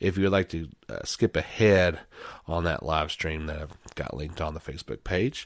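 Very deep, low male voice, vocal fry present, pitch varying in an ordinary way. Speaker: podcast host. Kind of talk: solo podcast monologue. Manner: soft-spoken today; casual, many filler words.

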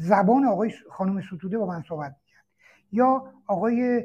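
Speaking at a fairly quick pace, a man with a high pitch and a dark, mellow tone shows ordinary pitch variation against a quiet background. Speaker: former political prisoner and commentator. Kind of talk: answering questions in an online room discussion. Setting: online audio chat room.

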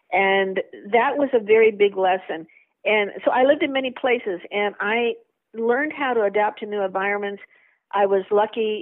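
A woman with an American accent at a moderate pace, an ordinary speaking voice. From United States. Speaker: vaccine safety advocate. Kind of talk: interview.

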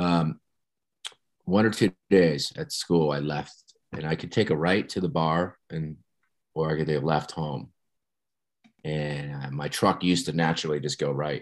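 Delivery comes at a fairly slow pace with long, frequent pauses and fairly even intonation. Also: man, very deep, low pitch for a man. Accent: American. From New Jersey, US. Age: 50s. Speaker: podcast guest in recovery, former teacher. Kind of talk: personal testimony in interview.

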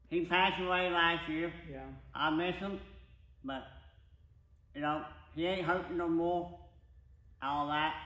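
A high-pitched man with a Midwestern US accent, fairly slow and flat in a monotone, with long, frequent pauses and audible room echo. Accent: rural Midwestern US. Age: 50s. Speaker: racing crew member. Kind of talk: casual interview.

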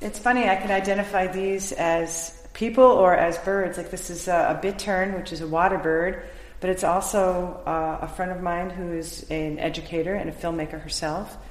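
There is noticeable background noise and audible room echo. A woman speaks at a moderate pace with fairly even intonation. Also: medium pitch for a woman. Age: 50s. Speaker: mixed-media artist. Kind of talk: casual interview. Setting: art gallery.

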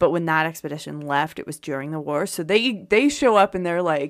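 A woman with a plain, everyday voice and an American accent, fairly low in pitch with ordinary pitch variation, at a moderate pace, in a very clean recording with a silent background. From Pennsylvania. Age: 30s. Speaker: podcast co-host. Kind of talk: casual chat. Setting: studio.

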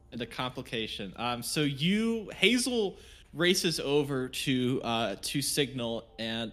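What we hear is plain reading aloud of a text.

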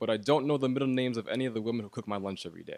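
A man speaks in a normal speaking voice. His intonation is lively. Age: 20s. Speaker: poet. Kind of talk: spoken word poetry.

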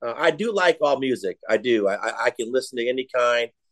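A man's normal speaking voice with an American accent, medium pitch and ordinary pitch variation, at a moderate pace, dry and close with no echo. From Iowa, US Midwest. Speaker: college football head coach. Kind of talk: casual interview.

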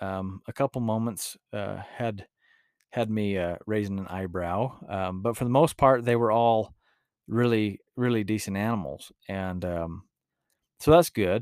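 In a rural Utah accent, the speaker talks at a fairly slow pace with a relaxed tone. The recording is very clean, the background silent. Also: man. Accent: rural Utah, western US. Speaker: mule trainer and podcaster. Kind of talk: casual podcast monologue. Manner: relaxed, filler-heavy.

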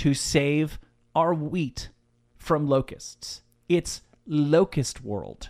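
A man speaks loudly on a very clean recording with a silent background. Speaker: podcast co-host, film fan. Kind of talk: casual chat.

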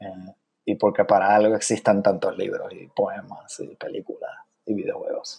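Big swings in loudness from a man speaking at a moderate pace. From Puerto Rico, San Juan. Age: 30s. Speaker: poet. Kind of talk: interview.

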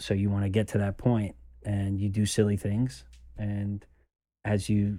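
With an American accent and a dark, mellow tone, a man talks in fairly even intonation, leaving long, frequent pauses. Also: fairly low pitch for a man, moderate pace. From New York. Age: 20s. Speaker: son of a former mobster. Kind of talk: interview conversation.

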